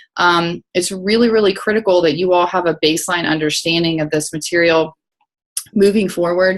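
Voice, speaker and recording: A woman with a fairly low pitch speaks at a fairly quick pace. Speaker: professor. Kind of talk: lecture. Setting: video call. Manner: fast; frequent fillers (um, uh).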